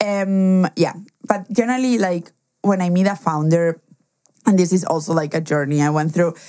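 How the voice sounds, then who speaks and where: In a Spanish accent, the voice has a dark, mellow tone, very even loudness, ordinary pitch variation and a moderate pace. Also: woman, fairly low pitch for a woman. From Spain, schooled partly in Germany. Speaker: angel investor. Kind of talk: interview.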